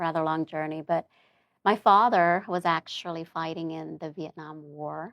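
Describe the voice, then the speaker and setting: A woman's normal speaking voice, fairly low in pitch, at a moderate pace with fairly even intonation and big swings in loudness, in a very clean, dry, close recording with a silent background and no echo. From Germany, then US (moved between states, settled in New Orleans). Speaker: doctor and public speaker. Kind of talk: interview testimony.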